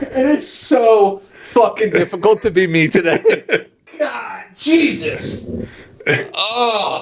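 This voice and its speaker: Noticeable background noise accompanies a man who talks at a very slow pace. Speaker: podcast co-host. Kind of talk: casual chat. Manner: animated, swearing exclamations.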